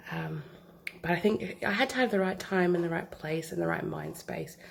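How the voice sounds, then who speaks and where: Noticeable background noise runs behind this recording. The woman speaking keeps a moderate pace. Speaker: scrapbooker. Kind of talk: casual craft walk-through to camera.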